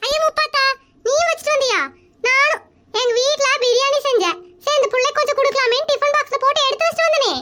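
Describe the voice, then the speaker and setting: A woman's put-on character voice, squeaky and extremely high-pitched, with very even loudness, ordinary pitch variation and a moderate pace. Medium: comedy sketch. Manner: outspoken, scolding.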